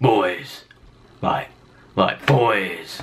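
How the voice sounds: A man does a put-on character voice. It is raspy and medium in pitch.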